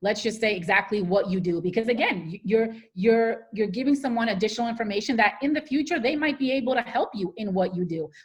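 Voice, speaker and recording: A woman talks at a fairly quick pace with an American accent and lively intonation. Her pitch is fairly high, and her voice is somewhat breathy. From US Northeast, New Jersey. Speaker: public speaker and career coach. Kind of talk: Q&A after a talk. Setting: video call. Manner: fast.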